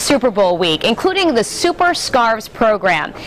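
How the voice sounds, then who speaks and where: A woman's fairly high voice with very wide pitch swings over light background noise. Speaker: TV news reporter. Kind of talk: live news report. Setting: on location. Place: hall. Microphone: lapel.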